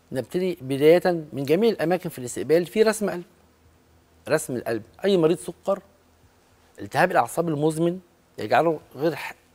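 At a moderate pace, a man speaks in a high pitch with lively intonation, big swings in loudness, and long, frequent pauses. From Egypt. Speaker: cardiologist; guest. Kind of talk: medical interview. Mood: calm, explanatory. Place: studio. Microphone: lapel.

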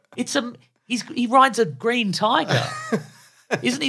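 A man's raised, projected voice. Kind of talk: casual chat.

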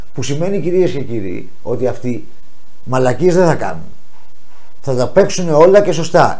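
His intonation is lively. The man's pace is fairly slow. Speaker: show host. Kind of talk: talk show commentary. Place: studio. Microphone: lapel.

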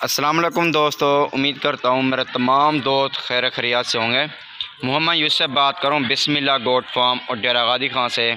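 Over noticeable background noise, a man speaks with fairly even intonation and very even loudness. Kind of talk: casual vlog chat. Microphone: phone near.

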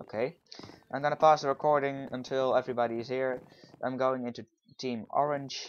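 A man with a Dutch accent talks at a fairly quick pace and a medium pitch. He leaves long, frequent pauses. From Netherlands. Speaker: gaming YouTuber. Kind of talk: gameplay commentary. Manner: animated.

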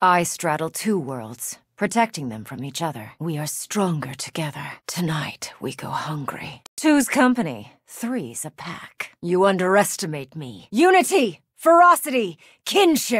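This is a put-on character voice at a middle pitch. It moves at a moderate pace with hardly any pauses. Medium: video game voice lines. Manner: fierce, commanding.

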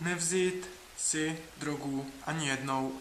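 A man's voice with fairly even intonation, amid noticeable background noise and audible room echo. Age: 30s. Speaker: writer and traveler vlogger. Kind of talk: dating self-presentation video; travel video narration.

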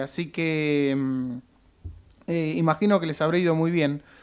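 A man with a Rioplatense accent speaks at a very slow pace. His pitch variation is ordinary, and the background is quiet. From Argentina. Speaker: actor and musician; actor. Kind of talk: radio interview. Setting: radio studio. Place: studio. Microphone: studio mic.

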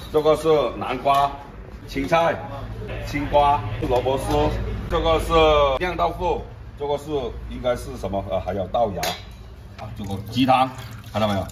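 Amid noticeable background noise, a man speaks at a moderate pace with long, frequent pauses. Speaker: food vlogger. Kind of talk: casual vlog chat. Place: cafe.

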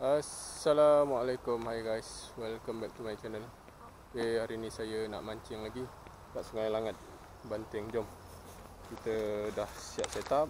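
Over noticeable background noise, a man speaks at a fairly slow pace with long, frequent pauses and fairly even intonation, the sound dry with no echo. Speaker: fishing vlogger. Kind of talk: casual vlog chat. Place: waterside. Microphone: phone near.

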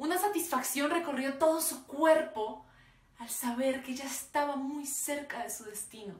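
A woman with a high pitch speaks at a fairly slow pace, with audible room echo. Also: ordinary pitch variation, big swings in loudness. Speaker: oral storyteller. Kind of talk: dramatic oral storytelling performance of a parable. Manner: slow, vivid descriptive pacing lingering on imagery; emotive, building to sorrowful intensity. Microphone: phone near.

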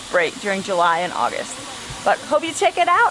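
Noticeable background noise beneath a woman's voice. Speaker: family vlogger. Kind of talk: casual vlog chat. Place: station. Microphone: phone near.

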